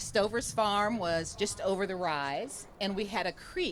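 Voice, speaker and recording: A woman's unremarkable speaking voice at a fairly slow pace with ordinary pitch variation. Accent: American. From rural Ohio, US Midwest. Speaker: political candidate. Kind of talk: campaign speech. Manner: casual, conversational.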